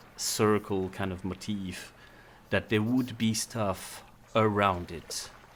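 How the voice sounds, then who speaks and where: Delivery is very slow, with monotone, flat intonation. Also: man, fairly low pitch for a man. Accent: non-native. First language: not English. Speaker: tabletop game master. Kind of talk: tabletop roleplaying session.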